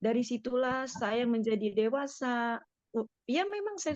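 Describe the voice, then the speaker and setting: A woman's high-pitched voice. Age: 50s. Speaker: business network leader sharing testimony. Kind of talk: testimony.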